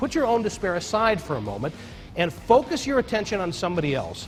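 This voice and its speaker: A man talks with very wide swings in pitch while music plays in the background. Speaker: leadership keynote speaker. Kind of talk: keynote speech to an audience.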